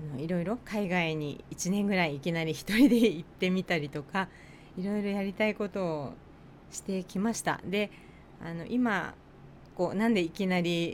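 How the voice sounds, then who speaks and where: With a Tochigi accent, a woman speaks at a medium pitch. Her pace is moderate, with ordinary pitch variation. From Japan, Tochigi. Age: 40s. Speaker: nurse and podcast co-host. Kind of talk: casual chat.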